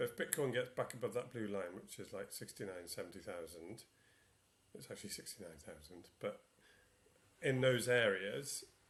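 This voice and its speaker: A somewhat breathy voice at a moderate pace. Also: man. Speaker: crypto trading analyst. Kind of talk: market analysis video. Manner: halting, many fillers.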